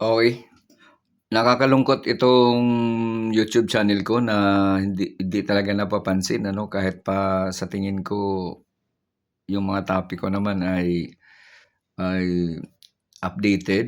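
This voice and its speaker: A man at a fairly low pitch, fairly slow and with fairly even intonation and long, frequent pauses, in a very clean recording with a silent background. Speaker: retired teacher turned vlogger. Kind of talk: political commentary vlog. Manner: sad-sounding, downbeat; halting with many fillers.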